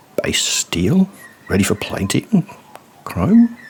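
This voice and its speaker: A man whispers over noticeable background noise. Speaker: poet. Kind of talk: spoken word poetry. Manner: slow.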